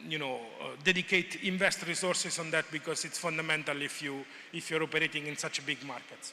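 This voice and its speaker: A man's fairly high-pitched voice, with fairly even intonation, sits amid noticeable background noise. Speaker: conference presenter on agricultural research. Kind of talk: conference presentation. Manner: hesitant, many fillers; fast.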